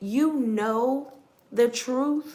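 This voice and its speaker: Quiet but animated, a woman speaks in a high voice against noticeable background noise. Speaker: tarot reader. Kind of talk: collective tarot reading. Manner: quiet, holding back.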